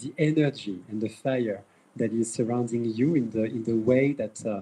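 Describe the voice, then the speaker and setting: A man's dark, mellow voice in a French accent, at a moderate pace with ordinary pitch variation. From France. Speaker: event moderator. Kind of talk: event introduction speech. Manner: halting, many fillers and repetitions.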